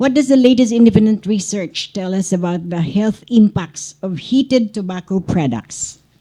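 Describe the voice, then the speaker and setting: A woman with a medium pitch and a dark, mellow, somewhat breathy tone talks at a moderate pace. Her intonation is lively, and she hardly pauses at all. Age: 60s. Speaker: journalist. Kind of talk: press conference question.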